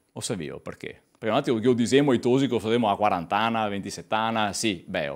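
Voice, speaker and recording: A man talks at a very fast pace with a fairly low pitch. The background is quiet. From Veneto. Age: 30s. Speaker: lecturer on Venetian language. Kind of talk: lecture. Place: hall. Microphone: podium.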